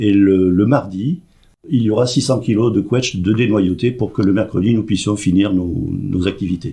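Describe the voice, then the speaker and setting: Somewhat breathy and dark, mellow in tone, a man speaks at a moderate pace with fairly low pitch, ordinary pitch variation and very even loudness. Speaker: president of a seniors' club. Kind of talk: radio interview.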